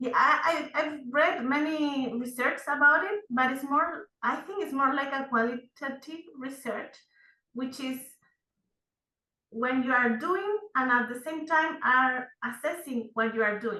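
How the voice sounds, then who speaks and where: In a Spanish accent, a woman speaks in a raised, projected voice at a fairly slow pace. Her pitch is high, with a bright, sharp tone and ordinary pitch variation. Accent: Spanish-speaking. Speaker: seminar participant. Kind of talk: question to instructor. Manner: hesitant.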